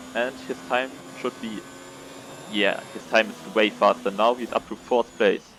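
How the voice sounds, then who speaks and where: Noticeable background noise sits behind a man with a non-native accent. He talks at a fairly slow pace and a fairly low pitch, with ordinary pitch variation. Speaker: sim racing league commentator. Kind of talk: live commentary. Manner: halting, many fillers. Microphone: poor audio quality.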